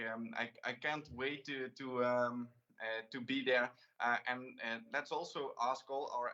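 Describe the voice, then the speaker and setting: A man with a Limburg accent speaks at a medium pitch in a bright, sharp tone, his intonation monotone and flat. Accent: Dutch (Limburg) accent in English. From Netherlands, Limburg. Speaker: talk show host. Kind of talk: interview. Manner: halting.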